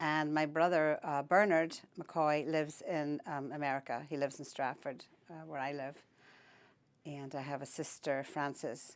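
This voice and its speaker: A woman with a Northern Irish accent speaks in a very deep, low voice with flat, monotone intonation. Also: very clean recording, silent background. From Northern Ireland, County Down (Holywood). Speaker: oral history interviewee. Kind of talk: interview. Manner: halting.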